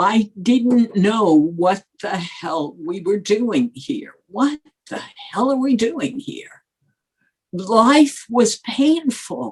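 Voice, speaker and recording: A woman with an American accent speaks very slowly in a fairly high, somewhat breathy voice, her pitch swinging very widely. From New York, Brooklyn. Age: 70s. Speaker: former journalist. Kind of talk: interview. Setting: podcast.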